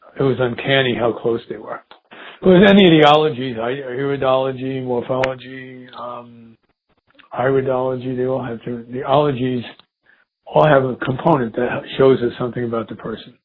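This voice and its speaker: An ordinary speaking voice from a man, medium pitch, moderate pace, fairly even intonation, big swings in loudness. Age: 60s. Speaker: spiritual healer and teacher. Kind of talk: interview.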